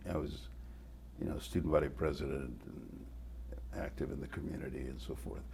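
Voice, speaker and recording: Audible room echo surrounds a man speaking at a moderate pace with vocal fry. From Mexico, raised in El Paso, Texas. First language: Spanish. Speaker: retired TV news reporter. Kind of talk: interview. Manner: halting, repeats words.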